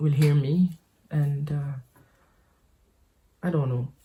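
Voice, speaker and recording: This woman has a very deep, low voice with a dark, mellow tone and a somewhat breathy quality. She speaks at a fairly slow pace with fairly even intonation. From French Caribbean island. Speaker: podcaster. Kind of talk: casual monologue. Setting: home office. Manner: halting, many fillers and repetitions.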